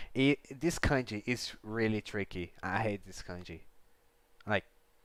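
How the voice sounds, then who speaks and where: A man's fairly low voice in a Brazilian accent, at a fairly slow pace with ordinary pitch variation. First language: Portuguese. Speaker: livestreamer learning Japanese. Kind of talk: casual live study stream. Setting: livestream. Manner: halting, self-correcting.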